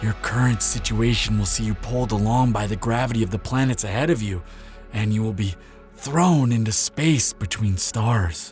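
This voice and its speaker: A man puts on a character voice at a medium pitch and a moderate pace. Music plays clearly in the background. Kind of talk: intimate listener-addressed roleplay audio. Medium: audio drama. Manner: soft, earnest, hesitant.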